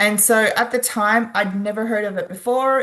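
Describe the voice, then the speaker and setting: In an Australian accent, a woman talks at a fairly high pitch with fairly even intonation. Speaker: wellness product distributor. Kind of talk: sales presentation.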